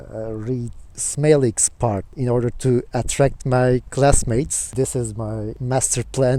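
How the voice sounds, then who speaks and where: In a Turkish accent, a man with a dark, mellow tone and medium pitch speaks at a fairly slow pace with fairly even intonation. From Turkey, Izmir. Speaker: student and video blogger. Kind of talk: casual talk to camera; reading aloud. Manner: hesitant, with fillers.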